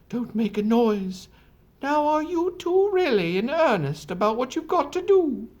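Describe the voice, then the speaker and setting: A put-on character voice speaks at a moderate pace, pitched high, with very wide swings in pitch. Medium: read story. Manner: brisk, hooting.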